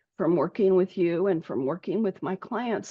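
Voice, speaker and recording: An ordinary speaking voice from a woman, medium in pitch, at a moderate pace. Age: 60s. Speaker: health coach. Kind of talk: interview.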